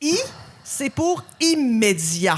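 A somewhat breathy woman speaks at a very slow pace. Her pitch makes very wide swings. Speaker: podcast host. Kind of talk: casual chat.

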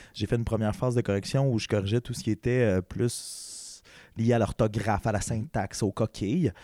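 Recorded very cleanly against a silent background, a man speaks at a moderate pace in a dark, mellow tone, the sound dry and close with no echo. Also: medium pitch for a man, ordinary pitch variation. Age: 20s. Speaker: podcast host. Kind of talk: casual chat. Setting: studio.

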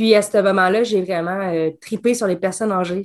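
A woman talks at a moderate pace. Her pitch is medium, with fairly even intonation. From Quebec. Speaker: escape game designer. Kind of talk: casual chat. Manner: talkative.

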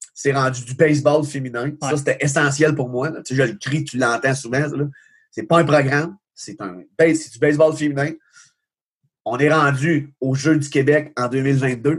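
A man with a fairly high pitch and a somewhat breathy voice speaks at a moderate pace. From Quebec, Magog area. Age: 40s. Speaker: baseball coach. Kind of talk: casual interview. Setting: video call.

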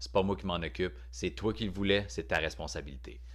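Someone speaks at a fairly quick pace in a Quebec accent, with very wide pitch swings. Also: man, very clean recording, silent background. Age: 30s. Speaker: stand-up comedian. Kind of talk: podcast monologue. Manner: casual, hesitant.

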